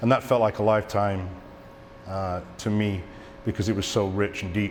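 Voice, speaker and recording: Audible room echo surrounds a man speaking at a moderate pace. His fairly low voice has monotone, flat intonation. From England. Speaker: cinematographer and editor, eulogy speaker. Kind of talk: eulogy speech. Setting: theatre stage with audience. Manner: halting.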